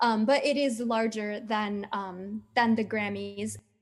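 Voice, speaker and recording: Speaking in an American accent, a woman uses a fairly high pitch. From US, Colombian parents. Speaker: children's musician and former teacher. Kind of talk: interview. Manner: hesitant, many fillers.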